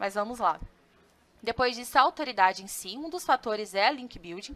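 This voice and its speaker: A woman with a Santa Catarina accent talks at a fairly quick pace with ordinary pitch variation. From southern Brazil, Joinville, Santa Catarina. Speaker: customer success analyst and content marketing specialist. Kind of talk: webinar presentation. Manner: casual, with frequent fillers and self-corrections.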